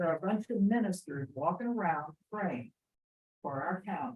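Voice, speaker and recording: The voice is somewhat breathy, with lively intonation at a moderate pace. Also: woman. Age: 70s. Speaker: pastor. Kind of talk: public comment. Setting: public meeting.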